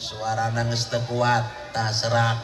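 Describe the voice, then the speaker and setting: With music in the background and audible room echo, a man speaks in a flat monotone at medium pitch. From Banten, born in Baros. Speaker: Islamic preacher (kyai). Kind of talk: humorous sermon. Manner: blunt, coarse-sounding speech.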